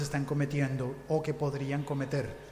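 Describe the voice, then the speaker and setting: A man in a Latin American accent at a very slow pace, with audible room echo and noticeable background noise. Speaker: podcaster, panel moderator. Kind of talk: panel discussion moderation.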